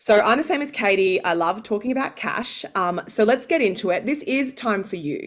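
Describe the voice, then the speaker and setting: With an Australian accent, a woman talks at a moderate pace with hardly any pauses, her fairly high pitch swinging very widely over noticeable background noise. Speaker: founder and pay negotiation coach. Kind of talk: live masterclass.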